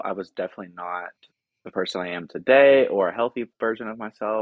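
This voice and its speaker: A man speaks with an American accent in an ordinary speaking voice. His pitch is fairly low, with ordinary pitch variation. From US South, Tennessee (small town outside Nashville). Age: 20s. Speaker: social work master's student and rehab counselor. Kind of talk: casual interview chat. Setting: home, guest in host's living room.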